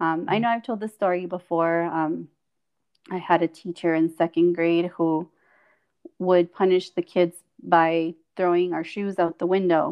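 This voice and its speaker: With a Spanish accent, a woman at a fairly low pitch speaks at a moderate pace with fairly even intonation and long, frequent pauses. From Mexico (Chihuahua), some childhood in California. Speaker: speech-language pathologist and podcast co-host. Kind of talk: casual interview telling life story.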